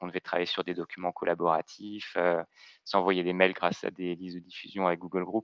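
A man talks at a moderate pace in a very deep, low pitch. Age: 30s. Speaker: IT consultant and trainer. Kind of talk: interview. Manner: hesitant, many repetitions and fillers.

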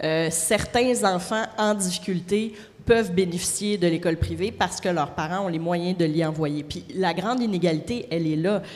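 With a plain, everyday voice, a woman speaks at a moderate pace, her fairly low pitch moving with ordinary variation. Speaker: city councillor. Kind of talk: debate.

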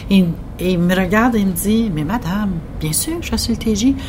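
Amid audible room echo and noticeable background noise, a woman speaks at a medium pitch. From northwestern New Brunswick. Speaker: regional broadcasting director. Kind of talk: interview.

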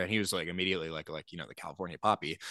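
With an American accent and a bright, sharp tone, a man speaks with ordinary pitch variation in a dry, close sound with no echo against a quiet background. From Oklahoma, Tulsa. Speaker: singer-songwriter. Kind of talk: casual interview. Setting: video call.

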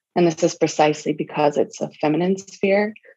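At a moderate pace, a woman speaks with vocal fry in a very deep, low, dark and mellow voice. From US South, Charleston, South Carolina. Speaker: fiction writer. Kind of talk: interview.

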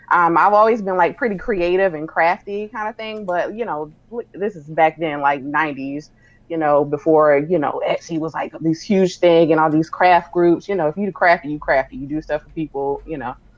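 A woman's fairly low pitch with ordinary pitch variation and big swings in loudness, at a moderate pace amid noticeable background noise. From South Carolina (Sumter), US South. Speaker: celebrity publicist. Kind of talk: casual interview chat.

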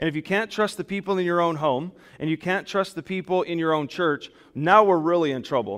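A loud man with a high pitch, ordinary pitch variation and a fairly quick pace. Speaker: pastor. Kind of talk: sermon. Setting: church; PA system with online stream. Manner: loud, projecting.

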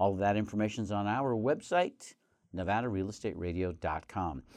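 A man speaks against a quiet background. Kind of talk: radio DJ patter: upbeat welcome, teasing the next segment before a break. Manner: bright, chatty, friendly and enthusiastic.

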